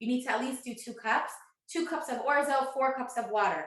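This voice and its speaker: A high-pitched woman's voice carries audible room echo. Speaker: cooking instructor. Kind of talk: live online cooking class. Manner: fast.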